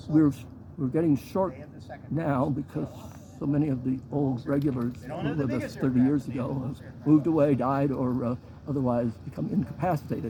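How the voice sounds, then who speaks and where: A man keeps fairly even intonation and a moderate pace while noticeable background noise continues. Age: 70s. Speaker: community activist. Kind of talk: interview. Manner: halting.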